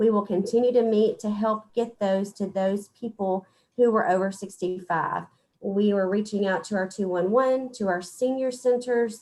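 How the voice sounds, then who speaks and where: In an American accent, a woman talks at a moderate pace and medium pitch with fairly even intonation, in an ordinary speaking voice. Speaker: public health official. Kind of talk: briefing to county court.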